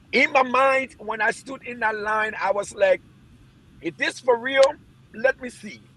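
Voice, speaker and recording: In a raised, projected voice of extremely high pitch and a bright, sharp tone, a man speaks at a fairly slow pace with long, frequent pauses, ordinary pitch variation and big swings in loudness. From Liberia. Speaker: former footballer. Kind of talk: interview testimony.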